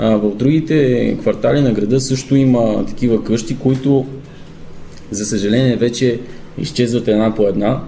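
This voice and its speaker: Amid noticeable background noise and audible room echo, a man speaks slowly at medium pitch with fairly even intonation. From Bulgaria, Zlatograd (Rhodopes). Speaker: bagpiper and folk singer. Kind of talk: radio interview.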